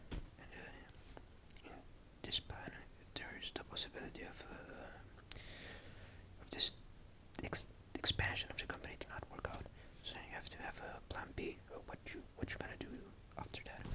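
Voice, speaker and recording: A man whispering at a moderate pace, with long, frequent pauses and noticeable background noise. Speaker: vlogger. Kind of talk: casual monologue. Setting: at home at night. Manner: halting.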